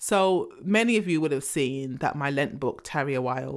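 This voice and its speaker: In a very clean recording with a silent background, a woman with a very deep, low pitch speaks at a moderate pace with lively intonation. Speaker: podcast host. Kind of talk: solo monologue.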